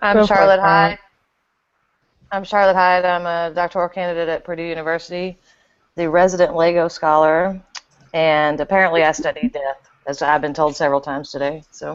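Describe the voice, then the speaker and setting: A woman speaks with a Texas accent. Her intonation stays fairly even. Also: fairly low pitch for a woman. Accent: Texas drawl. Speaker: podcast co-host; doctoral candidate.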